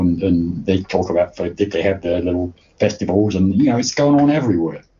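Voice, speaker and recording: A man's somewhat breathy voice at a fairly quick pace. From England. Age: 70s. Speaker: fan chronicler and festival organizer. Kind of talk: casual interview chat. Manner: halting, many repeated words.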